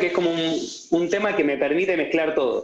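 There is audible room echo as a man speaks at a high pitch. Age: young. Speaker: economist. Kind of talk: casual interview.

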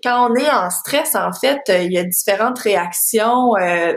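Against noticeable background noise and audible room echo, a woman talks at a very slow pace with lively intonation. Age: 30s. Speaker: parenting coach. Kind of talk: interview.

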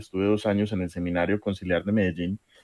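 A man's fairly low-pitched voice, monotone and flat, with a dry, close sound, no echo, and a quiet background. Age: 20s. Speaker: social worker and youth leader. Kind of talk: radio interview.

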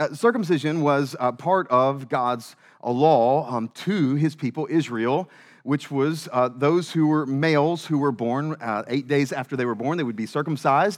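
With a Southern US accent, a man speaks at a moderate pace in a fairly high pitch, his pitch varying in an ordinary way. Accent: Southern American. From US South. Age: 30s. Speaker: pastor. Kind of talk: sermon. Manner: halting, many fillers.

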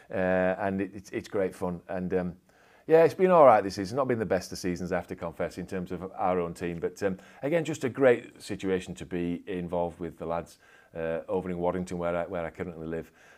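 On a very clean recording with a silent background, a man with a Yorkshire accent speaks at a fairly quick pace in a very deep, low pitch, with big swings in loudness. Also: ordinary pitch variation. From Yorkshire, England. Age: 50s. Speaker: sports club chaplain and pastor. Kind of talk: casual interview.

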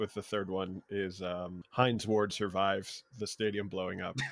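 Here is an unremarkable speaking voice from a man. He speaks at a moderate pace with fairly low pitch. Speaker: comedian. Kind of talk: casual chat.

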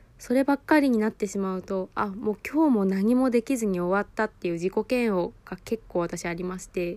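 A normal speaking voice comes from a woman at medium pitch, moving at a fairly quick pace with ordinary pitch variation. The sound is dry and close with no echo, on a very clean recording with a silent background. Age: 20s. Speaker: podcast host, new mother on parental leave. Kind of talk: casual solo podcast talk.

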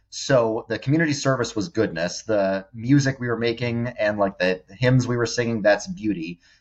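A normal speaking voice with an American accent and ordinary pitch variation. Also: man. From New York suburbs. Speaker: social media influencer. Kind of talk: interview testimony.

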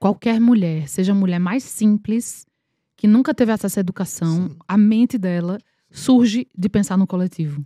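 Recorded very cleanly with a silent background and a dry, close sound with no echo, a woman speaks at a moderate pace and medium pitch in a dark, mellow, somewhat breathy tone with ordinary pitch variation. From Paraíba, Brazil (Campina Grande). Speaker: actress. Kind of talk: casual chat. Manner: animated.

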